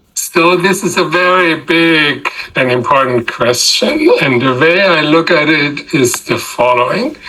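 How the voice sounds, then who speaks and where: With a German accent, a man speaks at a fairly slow pace and a fairly high pitch, with ordinary pitch variation, very even loudness, and noticeable background noise. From Germany. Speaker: political science professor. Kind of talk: interview.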